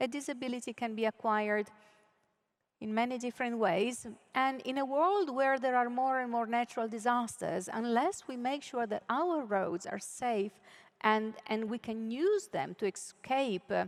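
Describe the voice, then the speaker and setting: A woman speaks at a moderate pace with an Italian accent. Her voice is high, with ordinary pitch variation. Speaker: keynote speaker, UN official. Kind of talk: conference keynote speech. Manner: hesitant, with frequent fillers.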